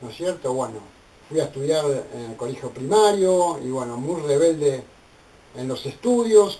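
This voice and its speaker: Delivered at a fairly slow pace, a plain, everyday voice carries ordinary pitch variation. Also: man. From Argentina, Buenos Aires (Barracas). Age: 60s. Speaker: theologian and ministry leader. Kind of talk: personal testimony.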